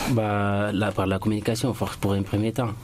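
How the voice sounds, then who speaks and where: Over noticeable background noise, a man talks in a fairly low voice. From Guinea, Boké region (Lower Guinea). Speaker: immigrant guest. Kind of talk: radio interview. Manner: halting.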